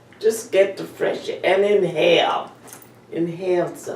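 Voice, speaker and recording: A woman talks at a very slow pace with an American accent. There is noticeable background noise. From Ardmore, Pennsylvania. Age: 80s+. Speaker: centenarian interviewee. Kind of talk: interview answer.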